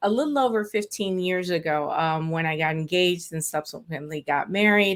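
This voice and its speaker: A woman with a Spanish accent talks with ordinary pitch variation on a very clean recording with a silent background. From South Florida, born in Puerto Rico, Afro-Cuban. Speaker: estate planning lawyer. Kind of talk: interview.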